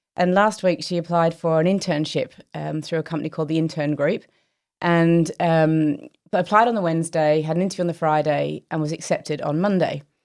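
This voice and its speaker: Recorded very cleanly against a silent background, a woman with a slight Australian accent speaks at a fairly quick pace with a fairly low pitch and fairly even intonation. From Australia, Melbourne. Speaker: company chief executive. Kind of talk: casual interview chat.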